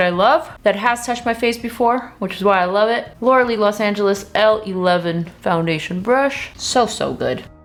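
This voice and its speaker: Against noticeable background noise, a woman talks at a moderate pace and fairly high pitch, with ordinary pitch variation and hardly any pauses. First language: not English. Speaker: beauty YouTuber. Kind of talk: makeup review tutorial. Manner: animated.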